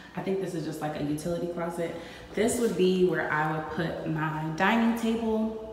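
A woman's fairly low voice with audible room echo and light background noise. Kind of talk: casual vlog chat. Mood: happy, excited. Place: empty room. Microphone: phone near.

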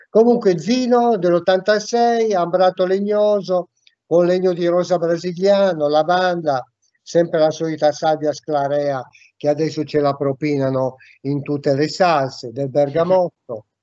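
A man speaks at a fairly slow pace with a high pitch and ordinary pitch variation. The sound is dry with no echo, over a quiet background. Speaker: perfume enthusiast podcast host. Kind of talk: casual podcast conversation. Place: home room. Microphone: video call.

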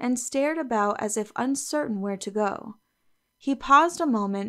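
An unforced reading voice comes through here. The background is quiet.

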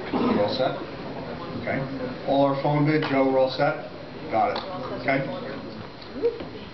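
The speech comes with long, frequent pauses over noticeable background noise. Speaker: auctioneer. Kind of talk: live auction calling, rapid-fire rolling bid increments. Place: hall.

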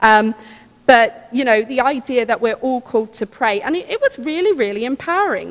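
A woman speaks with a high pitch and lively intonation at a fairly quick pace. Her tone is enthusiastic. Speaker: church member speaking on vocation. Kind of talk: church talk. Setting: church. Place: church. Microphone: podium.

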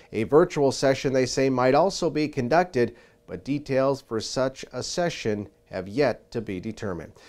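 The delivery has lively intonation and a moderate tempo. It is an ordinary speaking voice. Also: man, medium pitch for a man. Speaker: agriculture news reporter. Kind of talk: news reading.

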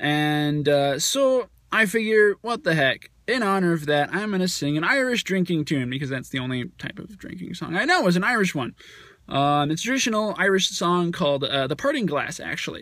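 A man speaks at a moderate pace in a high pitch, with a bright, sharp tone. The sound is dry with no echo, and the background is quiet. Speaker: vlogger. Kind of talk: casual vlog chat. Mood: playful, chatty. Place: car. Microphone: phone near.

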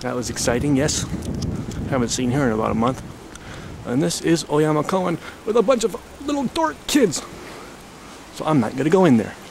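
Noticeable background noise surrounds a man talking at a fairly quick pace. His pitch swings very widely, and the sound is dry with no echo. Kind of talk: casual vlog chat. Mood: playful, slightly sneaky. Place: bicycle. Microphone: old recording.

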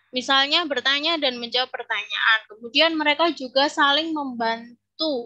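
A woman's high-pitched, raised, projected voice with a bright, sharp tone, ordinary pitch variation and a fairly slow pace against a quiet background. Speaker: English lecturer. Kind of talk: conference presentation. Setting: video call. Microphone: video call.

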